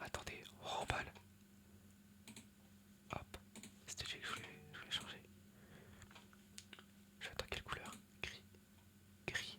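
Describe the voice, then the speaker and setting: A man whispering, with long, frequent pauses and noticeable background noise. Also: moderate pace. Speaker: ASMR content creator. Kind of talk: casual talk to camera, ASMR presentation. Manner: whispered, soft-spoken.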